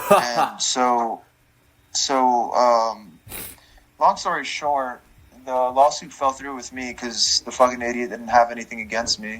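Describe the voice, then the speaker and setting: An ordinary speaking voice with an American accent, a fairly slow pace, ordinary pitch variation and big swings in loudness. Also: man, medium pitch for a man. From New Jersey (Elizabeth). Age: 30s. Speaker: music reviewer and streamer. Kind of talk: casual interview.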